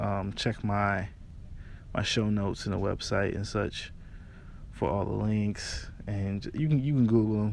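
Speaking fairly slowly with long, frequent pauses, a man uses a fairly low pitch and ordinary pitch variation. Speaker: podcast host. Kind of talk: casual chat. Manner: casual.

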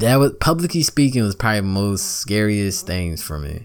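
An American-accented man speaks at a fairly low pitch and moderate pace, animated in tone with lively intonation. The recording is very clean, with a silent background. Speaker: podcast host. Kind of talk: casual monologue podcast. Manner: animated, casual slangy.

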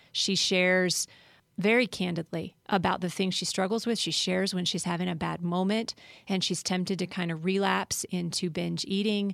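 A woman with an American accent uses a plain, everyday voice at medium pitch with fairly even intonation. She keeps a moderate pace in a very clean recording with a silent background. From Colorado, US. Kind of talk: casual chat.

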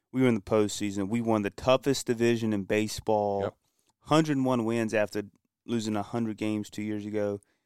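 With an American accent, a man in an unremarkable speaking voice talks at a moderate pace and a fairly low pitch, his intonation fairly even and the sound dry and close with no echo. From Kinston, North Carolina. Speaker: sports fan guest. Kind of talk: casual sports talk. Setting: studio.

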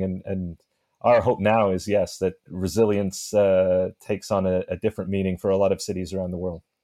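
Against a quiet background, a man with a dark, mellow tone speaks at a moderate pace with fairly even intonation, the sound dry and close with no echo. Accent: Canadian. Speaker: author and cycling advocate. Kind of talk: interview.

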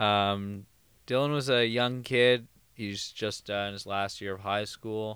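Speaking in a plain, everyday voice with a Canadian accent, a man keeps a fairly low pitch, fairly even intonation and a fairly slow pace in a very clean recording with a silent background. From Thornhill, outside Toronto. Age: 20s. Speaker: podcast co-host. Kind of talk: casual chat. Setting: home basement.

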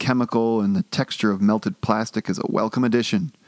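A natural reading voice is heard throughout.

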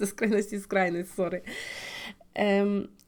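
A woman's medium-pitched voice comes through in a very clean recording with a silent background. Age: 20s. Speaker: podcast host. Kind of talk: personal monologue. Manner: casual, with filler sounds.

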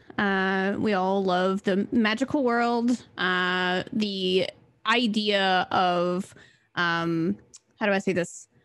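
Her pitch sits in the medium range as a woman speaks with an American accent. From Mississippi, US South. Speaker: artist, streamer and dungeon master. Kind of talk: casual chat, reading world intro aloud.

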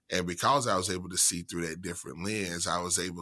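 A man with an American accent, very deep, low pitch, bright, sharp tone and fairly even intonation, on a very clean recording with a silent background. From central Mississippi, US South. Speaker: university diversity administrator. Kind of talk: interview.

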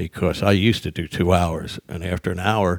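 A man with a New Jersey accent speaks in a very deep, low voice. His intonation is monotone and flat. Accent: New Jersey American. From South Jersey, US. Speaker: stand-up comedian. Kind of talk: casual chat. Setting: studio.

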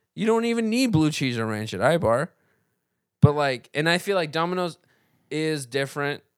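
On a very clean recording with a silent background, a man with a fairly high voice sounds animated, using very wide pitch swings at a moderate pace with long, frequent pauses. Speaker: comedian. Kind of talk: casual chat.

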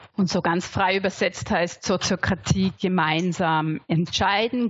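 This is a woman with a medium pitch. She speaks at a very slow pace. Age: 40s. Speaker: sociocracy facilitator and trainer. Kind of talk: interview.

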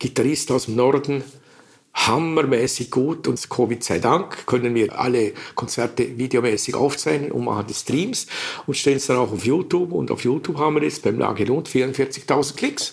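Through noticeable background noise, a man talks at a moderate pace with a medium pitch and ordinary pitch variation. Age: 70s. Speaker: jazz club founder and retired teacher. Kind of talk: interview.

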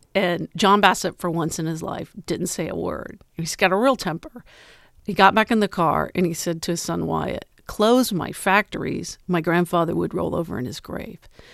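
A woman with an American accent and vocal fry speaks at a fairly low pitch with ordinary pitch variation, on a very clean recording with a silent background. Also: moderate pace. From US Midwest, Ohio. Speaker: journalist and author. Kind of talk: interview.

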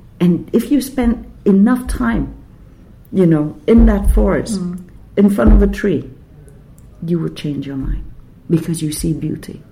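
Speaking with a Quebec accent, a woman moves at a fairly slow pace and leaves long, frequent pauses. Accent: Québécois French-accented English. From Vietnam (Saigon), then Quebec from age 10. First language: Vietnamese / French. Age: 50s. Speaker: writer. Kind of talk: interview conversation. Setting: writers' festival venue.

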